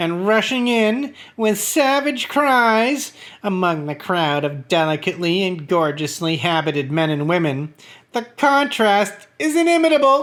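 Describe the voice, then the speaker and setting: On a very clean recording with a silent background, a man puts on a character voice, high-pitched with very wide pitch swings, at a moderate pace. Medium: read story. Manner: smooth, ingratiating.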